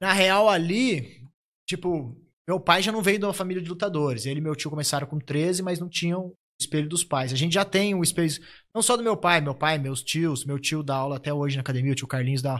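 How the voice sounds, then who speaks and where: A man with a plain, everyday voice speaks at a fairly quick pace and a fairly high pitch, with ordinary pitch variation, on a very clean recording with a silent background. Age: 30s. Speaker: jiu-jitsu fighter. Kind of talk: casual chat.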